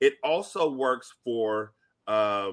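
A man talks in an unremarkable speaking voice at a medium pitch. The recording is very clean, with a silent background. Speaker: podcaster guest. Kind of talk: casual chat.

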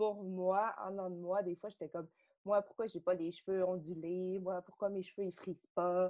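Her pitch medium and her intonation monotone and flat, a woman talks at a moderate pace. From Quebec, Saguenay. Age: 30s. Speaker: podcast guest, yoga studio member. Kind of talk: casual interview, personal story.

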